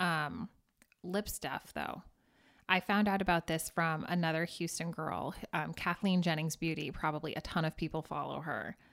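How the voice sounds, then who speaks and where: A woman with an ordinary speaking voice talks at a moderate pace and a fairly low pitch. Her intonation is fairly even, on a very clean recording with a silent background. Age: 30s. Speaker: small business owner. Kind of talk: casual chat.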